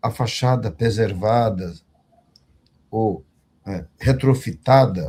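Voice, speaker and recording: Dark, mellow tone with lively intonation, somewhat breathy, at a very slow pace with long, frequent pauses. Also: man, medium pitch for a man. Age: 60s. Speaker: condominium management executive. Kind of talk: online panel discussion. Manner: formal.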